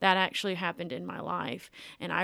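A woman with a Tennessee accent at a fairly low pitch and moderate pace. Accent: Southern US (Tennessee). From US South, Millington, Tennessee near Memphis. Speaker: singer-songwriter and music student. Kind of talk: interview, casual chat.

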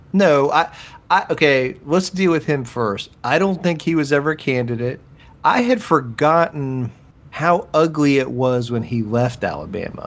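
An unremarkable speaking voice, a man's with a fairly high pitch, lively intonation and moderate pace, on a very clean recording with a silent background. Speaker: podcast co-host. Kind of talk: casual sports chat.

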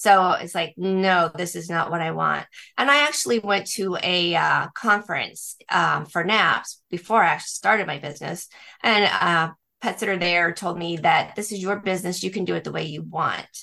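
Her bright, sharp tone carries vocal fry as this woman talks at a moderate pace in a fairly low pitch with ordinary pitch variation. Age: 60s. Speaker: pet sitter and dog walker, business owner. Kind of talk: interview.

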